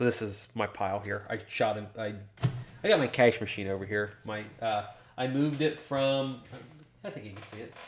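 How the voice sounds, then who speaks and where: Using an ordinary speaking voice, a man with fairly low pitch talks at a moderate pace with ordinary pitch variation and big swings in loudness. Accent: American. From US Midwest, southern Ohio. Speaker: real estate investor and YouTuber. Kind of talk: livestream chat. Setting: studio. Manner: rambling, casual with fillers.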